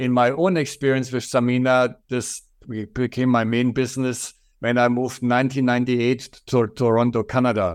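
Speaking with a strong German accent, a man keeps a moderate pace and medium pitch. His intonation is fairly even, and the recording is very clean with a silent background. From Germany. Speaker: furniture company owner. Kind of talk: interview.

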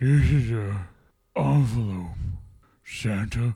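In a put-on character voice, a man talks very slowly at a medium pitch.

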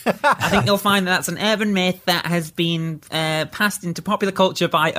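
A nasal, put-on character voice at a moderate pace. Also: man, high pitch for a man. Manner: condescending.

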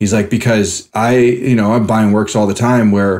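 A normal speaking voice with fairly even intonation, captured in a very clean recording against a silent background. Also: man. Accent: American. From San Francisco, California. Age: 30s. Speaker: portrait artist. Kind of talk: interview. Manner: casual.

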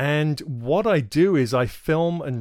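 Heard in a very clean recording with a silent background, a man talks with a southern English accent. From England. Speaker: podcast host and wildlife filmmaker. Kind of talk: casual monologue. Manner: hesitant, filler-heavy.

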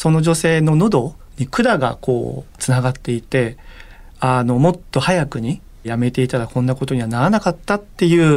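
In a normal speaking voice, a man talks at a moderate pace with lively intonation on a very clean recording with a silent background. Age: 40s. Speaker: corporate communications manager. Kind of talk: interview.

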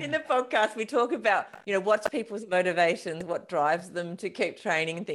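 With an Australian accent, a woman of medium pitch talks at a fairly quick pace in an animated tone with lively intonation. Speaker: podcast host. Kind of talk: casual interview.

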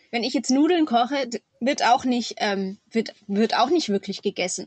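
A woman with an unremarkable speaking voice talks at a moderate pace, fairly high in pitch. Her intonation is lively, and the sound is dry and close with no echo. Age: 30s. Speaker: farmer and mother. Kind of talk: interview.

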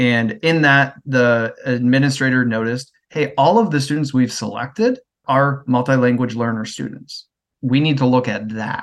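With a Midwestern American accent, a man speaks at a moderate pace with fairly even intonation. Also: medium pitch for a man. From US Midwest. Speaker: education network manager. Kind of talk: casual interview conversation.

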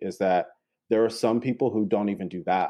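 A man talks with an ordinary speaking voice. His pitch is fairly low and his intonation fairly even. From North Carolina. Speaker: therapist. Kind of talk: interview.

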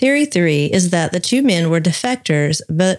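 Speaking at a moderate pace with a Southern US accent, a woman uses a fairly low pitch and lively intonation. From US South. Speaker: podcast co-host. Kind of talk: casual chat with scripted reading.

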